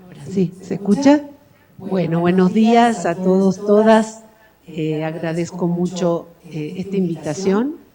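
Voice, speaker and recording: A woman of medium pitch and ordinary pitch variation talks at a fairly slow pace, with big swings in loudness and noticeable background noise. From Argentina. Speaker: professor. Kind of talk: lecture. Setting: university auditorium with audience. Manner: hesitant, many fillers.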